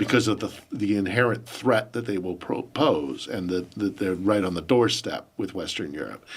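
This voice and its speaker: With an American accent and a normal speaking voice, a man talks at a moderate pace, his fairly low pitch showing ordinary variation, on a very clean recording with a silent background. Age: 50s. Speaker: journalist and podcast host. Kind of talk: interview answers. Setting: studio.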